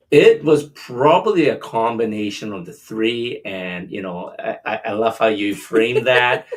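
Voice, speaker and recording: A man with an ordinary speaking voice talks at medium pitch and a fairly slow pace, with hardly any pauses, ordinary pitch variation and big swings in loudness. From Canada. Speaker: podcast co-host. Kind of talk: casual chat.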